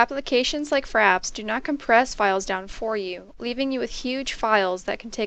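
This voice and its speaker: Soft-spoken at a moderate pace, the speaker uses ordinary pitch variation against a quiet background. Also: woman. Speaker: student presenter. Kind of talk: presentation.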